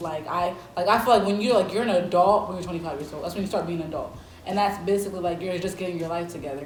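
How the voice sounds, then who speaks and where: Over noticeable background noise and audible room echo, a woman talks very fast at medium pitch in an animated tone. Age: 20s. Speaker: college student, mukbang guest. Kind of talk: casual chat. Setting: eating on camera with friends.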